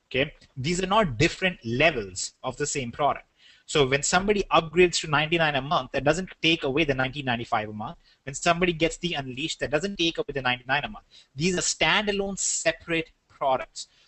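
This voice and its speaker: At a very fast pace, a man with an Indian accent talks in a fairly high pitch. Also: ordinary pitch variation. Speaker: business webinar presenter. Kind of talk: sales webinar. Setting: online webinar.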